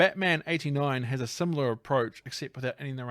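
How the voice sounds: Ordinary pitch movement in a natural reading voice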